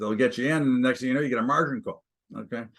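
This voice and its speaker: A man's medium-pitched voice, fairly even in intonation, with vocal fry. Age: 60s. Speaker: stock and commodities trader. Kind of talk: interview.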